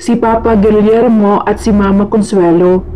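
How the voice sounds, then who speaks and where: At a fairly slow pace, a woman with a fairly high pitch and ordinary pitch variation is heard over noticeable background noise. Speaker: storyteller. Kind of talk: horror story narration with character dialogue.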